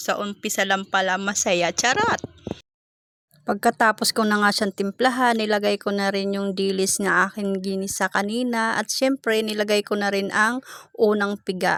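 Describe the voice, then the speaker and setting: Flat and monotone, a woman speaks at a medium pitch and a moderate pace. Her sound is dry and close, with no echo. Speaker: cooking vlogger. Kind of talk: voice-over narration. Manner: chatty.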